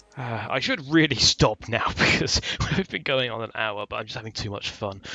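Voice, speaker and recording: Noticeable background noise sits behind a man who speaks at a moderate pace and a medium pitch with ordinary pitch variation. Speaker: gaming video creator. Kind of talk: let's play commentary.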